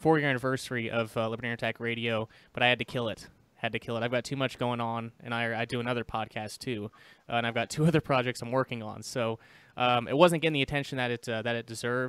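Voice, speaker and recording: A man talks at a very fast pace with fairly even intonation, the sound dry with no echo. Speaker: podcast guest. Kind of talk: interview answer. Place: home room. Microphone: studio mic.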